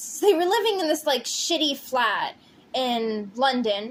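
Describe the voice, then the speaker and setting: Noticeable background noise sits behind a woman's voice. She moves at a fairly slow pace with very wide pitch swings. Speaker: pixel artist and storyteller. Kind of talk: casual storytelling with timelapse narration. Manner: halting, stumbling over words. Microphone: poor audio quality.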